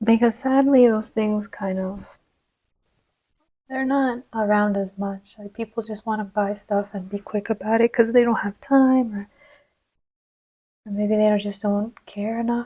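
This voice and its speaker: A woman speaks quietly at a fairly slow pace, with long, frequent pauses. Her voice is fairly high, somewhat breathy and dark and mellow, with monotone, flat intonation. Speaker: tarot reader. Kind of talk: tarot reading. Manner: casual, with many fillers.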